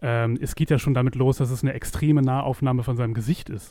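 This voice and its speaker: A man's dark, mellow voice races by at a very fast pace. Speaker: film podcast co-host. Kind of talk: casual chat.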